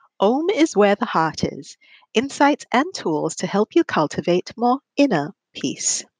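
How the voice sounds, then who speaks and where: Very slowly, a woman speaks at a fairly high pitch with vocal fry and very wide pitch swings, the sound dry and close with no echo. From Asia. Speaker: podcast host and leadership coach. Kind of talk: solo podcast monologue.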